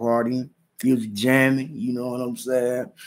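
Here a man talks at a fairly quick pace with an American accent. His pitch is medium. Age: 30s. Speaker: podcast host. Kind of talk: casual storytelling monologue. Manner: animated.

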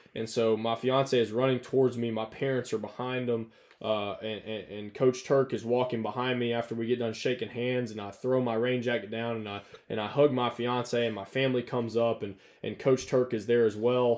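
Delivered at a fairly quick pace with a Southern US accent, the speech runs in a flat monotone. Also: man, medium pitch for a man. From North Alabama. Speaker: college football coach. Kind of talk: casual chat.

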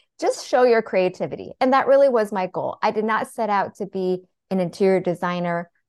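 A woman with an American accent speaks at a fairly quick pace in a plain, everyday voice of medium pitch, with ordinary pitch variation and a dry, close sound with no echo over a quiet background. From US Pacific Northwest (Seattle). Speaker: therapist turned interior designer and author. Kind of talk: podcast interview.

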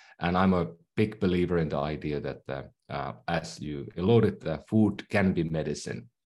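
Lively intonation and vocal fry in a Finnish accent, at a moderate pace against a quiet background. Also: man. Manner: halting, many fillers and repeats.

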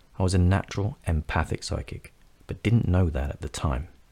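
A man with a London accent speaks at a fairly quick pace in a very deep, low pitch, with vocal fry and lively intonation. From North London, England. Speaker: podcast host, psychic medium and coach. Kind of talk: scripted narration.

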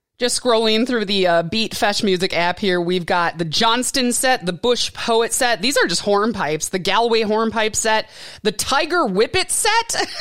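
A woman with a normal speaking voice and a fairly high pitch talks at a moderate pace with lively intonation and hardly any pauses. Her loudness stays very even on a very clean recording with a silent background. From Wisconsin. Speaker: podcast host. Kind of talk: casual chat.

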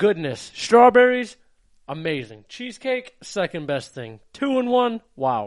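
At a fairly slow pace, a high-pitched man speaks in an animated tone with very wide pitch swings. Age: 20s. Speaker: podcast co-host. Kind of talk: casual chat.

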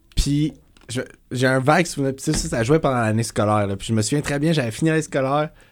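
In a very clean recording with a silent background, a man with a Quebec accent talks at a fairly quick pace, his pitch medium with ordinary variation. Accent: Québécois French. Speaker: podcast co-host. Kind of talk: casual chat.

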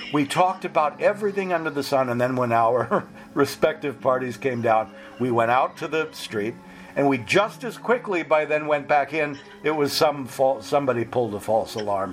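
Music in the background behind a man's fairly high, lively-intoned voice at a moderate pace. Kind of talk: casual interview.

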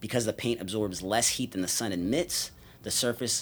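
In a very clean recording with a silent background, a man with an unremarkable speaking voice talks at a fairly low pitch with ordinary pitch variation. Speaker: podcast co-host. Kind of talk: casual chat. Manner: casual.

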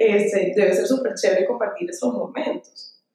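A woman is speaking. Her pace is moderate. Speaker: clinical psychologist. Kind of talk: casual chat.

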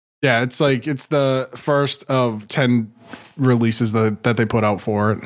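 A man speaks at a medium pitch with an American accent, in a plain, everyday voice. His loudness stays very even, and his intonation is fairly even. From Boston, US. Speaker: video game podcast co-host. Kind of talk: casual chat. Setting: live show.

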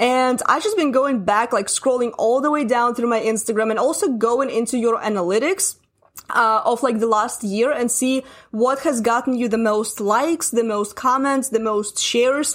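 Speaking in a Russian accent, a woman has a high pitch. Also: ordinary pitch variation, moderate pace, very even loudness. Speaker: marketing coach. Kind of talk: casual interview chat.

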